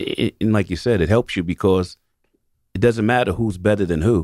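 A man's dark, mellow voice with a New York accent and ordinary pitch variation, dry and close with no echo, on a very clean recording with a silent background. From New York City. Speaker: retired police detective and basketball coach. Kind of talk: radio panel discussion. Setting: radio studio.

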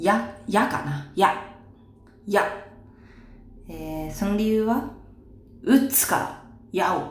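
Very slow speech with long, frequent pauses, audible room echo and noticeable background noise. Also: woman, medium pitch for a woman, ordinary pitch variation. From Saitama, Japan. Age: 20s. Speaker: idol. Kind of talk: casual solo talk, Q&A. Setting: in the bath.

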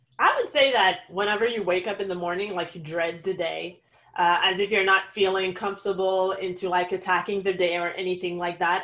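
A woman with a French accent talks at a fairly quick pace in a medium pitch. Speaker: online business consultant. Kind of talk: interview.

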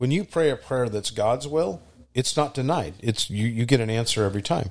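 A man at medium pitch and moderate pace, lively intonation, quiet background. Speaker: church podcast co-host. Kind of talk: casual chat. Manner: loud.

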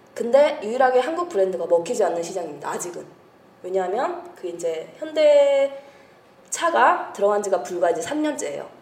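With audible room echo and noticeable background noise, a woman talks at a moderate pace, her pitch swinging very widely and her loudness shifting in big swings. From grew up abroad. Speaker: overseas sales professional. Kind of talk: casual chat. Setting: studio.

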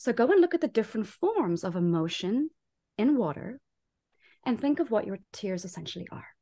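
Against a quiet background, a woman with a dark, mellow, somewhat breathy tone and fairly high pitch speaks at a fairly quick pace, her pitch swinging very widely and her loudness shifting in big swings. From South Africa. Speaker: life coach and former teacher. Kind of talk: podcast interview.

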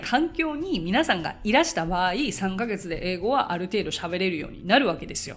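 With noticeable background noise around her, a woman talks at a moderate pace, her pitch making very wide swings. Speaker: English conversation teacher. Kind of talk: casual solo podcast talk.

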